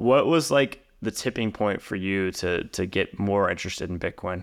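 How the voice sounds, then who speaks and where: Speaking at a moderate pace, a man with a plain, everyday voice uses a fairly low pitch with ordinary pitch variation. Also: very clean recording, silent background. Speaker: podcast host. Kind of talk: casual interview conversation.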